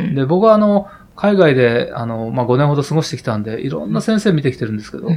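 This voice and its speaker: Through noticeable background noise, a man talks at a very fast pace with very wide pitch swings. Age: 50s. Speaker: heart surgeon. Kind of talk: interview. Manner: hesitant, many fillers.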